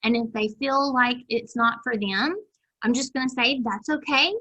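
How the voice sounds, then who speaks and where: Her tone bright and sharp, a woman with a high pitch speaks at a moderate pace with a Southern US accent. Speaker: extension agent running a master gardener program. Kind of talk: video call meeting announcements. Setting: video call.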